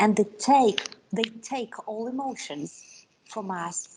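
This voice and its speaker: A woman's somewhat breathy voice with lively intonation and a non-native accent. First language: not English. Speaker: conference speaker on multilingual parenting. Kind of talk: conference talk. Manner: halting.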